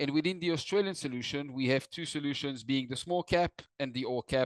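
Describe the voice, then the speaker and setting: Someone with a non-native accent speaks at a moderate pace with ordinary pitch variation, the sound dry and close with no echo against a quiet background. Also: man. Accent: non-native accent, self-noted. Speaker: investment firm distribution director. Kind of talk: webinar presentation. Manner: formal.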